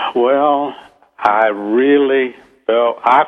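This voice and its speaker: A man with a Southern US accent is speaking. His pace is very slow. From US South. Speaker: novelist. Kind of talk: radio interview.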